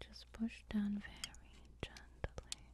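Someone whispers, soft-spoken, over noticeable background noise. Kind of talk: tutorial. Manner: soft whispered ASMR narration. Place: home room. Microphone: camera far.

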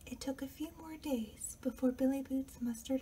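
This soft-spoken voice moves at a fairly slow pace over light background noise. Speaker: author reading own book. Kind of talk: ASMR story reading, quiet storytime. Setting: home recording with air conditioner noise and outside neighborhood noise. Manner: quiet, soft-spoken.

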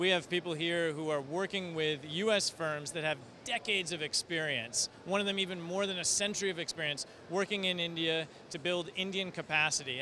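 A man's high-pitched voice, bright and sharp in tone, with fairly even intonation at a moderate pace, dry with no echo, over light background noise. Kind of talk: interview answer. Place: hall. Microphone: handheld.

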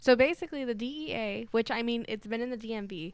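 A woman talks at a moderate pace in a plain, everyday voice. Her pitch is fairly high, with ordinary variation. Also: dry sound with no echo. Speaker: board operator and panelist, college student; panelist. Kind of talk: casual chat. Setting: studio. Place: studio. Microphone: studio mic.

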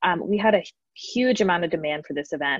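Against a quiet background with a dry sound and no echo, a woman with a fairly low pitch speaks at a fairly quick pace with ordinary pitch variation. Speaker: community manager. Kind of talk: event moderation. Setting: video call. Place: home room. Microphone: earbuds.

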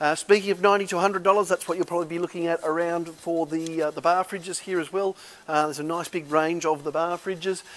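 A man talks at a fairly quick pace with few pauses and fairly even intonation. His voice sits fairly high and has a fairly bright tone.

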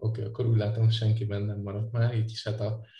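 This man talks at a fairly quick pace in a fairly low, somewhat breathy voice with a dark, mellow tone and monotone, flat intonation. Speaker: podcast host. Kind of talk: casual chat.

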